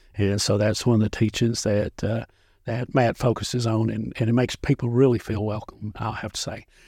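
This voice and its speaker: Spoken at a fairly quick clip with a Tennessee accent, this dark, mellow voice stays monotone and flat, recorded very cleanly against a silent background with a dry, close sound and no echo. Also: man, medium pitch for a man. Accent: Southern US (Tennessee). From Middle Tennessee (Dickson County). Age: 50s. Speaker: county sheriff. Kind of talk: casual interview. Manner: halting, many fillers.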